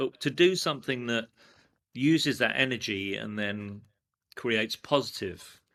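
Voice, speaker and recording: A man's medium-pitched voice with a bright, sharp tone in a London accent, on a very clean recording with a silent background. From England. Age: 60s. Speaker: screen-print artist, former advertising executive. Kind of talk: casual interview chat.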